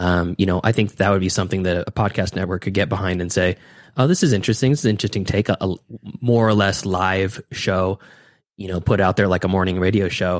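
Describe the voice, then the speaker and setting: Very deep, low male voice with fairly even intonation, dry and close with no echo. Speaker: film podcaster. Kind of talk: casual chat.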